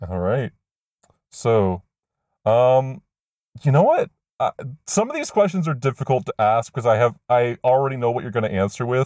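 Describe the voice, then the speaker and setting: With lively intonation and long, frequent pauses, a man talks at a moderate pace in a dry, close sound with no echo. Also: medium pitch for a man. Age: 20s. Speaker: podcast host. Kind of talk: interview.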